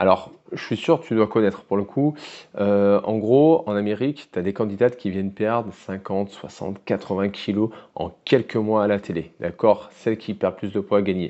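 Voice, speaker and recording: This man's voice sits fairly low in pitch, moving at a moderate pace with ordinary pitch variation. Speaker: weight loss coach. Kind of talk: educational monologue to camera. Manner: casual, direct address.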